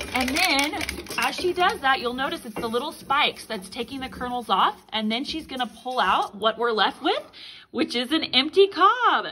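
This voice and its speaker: At a moderate pace, a woman speaks in a raised, projected voice over light background noise. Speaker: adult narrator filming. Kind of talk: casual demonstration commentary. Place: home room. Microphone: phone near.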